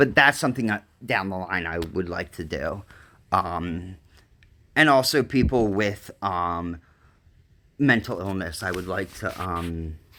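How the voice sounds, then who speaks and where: A man with a very deep, low pitch and a bright, sharp tone talks at a fairly slow pace, his intonation lively and his loudness swinging widely. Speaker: live streamer. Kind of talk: casual live stream chat. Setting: mobile live stream during a hurricane. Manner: halting, many fillers.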